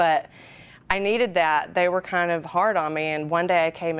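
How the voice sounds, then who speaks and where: In a Southern accent, a woman with a fairly low pitch speaks in a very clean recording with a silent background. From Alabama. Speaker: radio DJ. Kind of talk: interview. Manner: casual, chatty.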